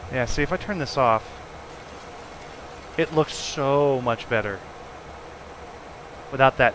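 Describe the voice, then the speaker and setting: A man with an American accent speaks very slowly at a medium pitch, with ordinary pitch variation and long, frequent pauses. Background noise is noticeable. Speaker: flight simulator streamer. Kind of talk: casual live-stream commentary.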